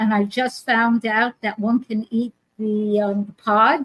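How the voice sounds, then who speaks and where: A somewhat breathy voice moves at a very slow pace in a monotone, flat intonation, with a dry, close sound and no echo. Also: woman. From New York. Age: 80s. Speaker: author and wellness teacher. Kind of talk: casual interview chat.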